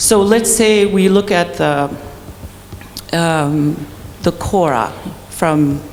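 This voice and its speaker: Fairly low-pitched woman amid noticeable background noise and audible room echo. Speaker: keynote speaker, pianist. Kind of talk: keynote lecture. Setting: stage with audience. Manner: hesitant, with fillers.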